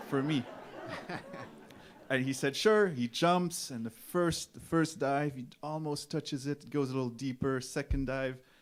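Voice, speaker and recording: With a Quebec accent, a man talks at a moderate pace and ordinary pitch variation while crowd noise carries on in the background. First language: French. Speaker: folk musician. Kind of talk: stage banter. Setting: stage with audience. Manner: halting.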